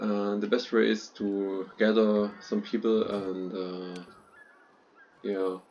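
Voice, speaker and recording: Using a non-native accent, a man talks at a very slow pace in monotone, flat intonation. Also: fairly low pitch for a man. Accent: non-native English speaker. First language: not English. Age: 20s. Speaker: gaming YouTuber. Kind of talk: unscripted gameplay commentary. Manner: halting, frequent fillers.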